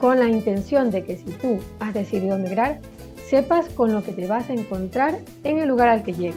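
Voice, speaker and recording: A woman with a fairly high pitch speaks with lively intonation over music in the background. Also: moderate pace. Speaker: podcast host. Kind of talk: podcast introduction.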